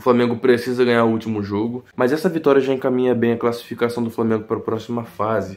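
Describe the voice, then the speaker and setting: Soft-spoken, a man talks at a very fast pace and medium pitch. His intonation stays fairly even. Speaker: football YouTuber. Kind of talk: post-match commentary vlog. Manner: soft-spoken, talking quietly.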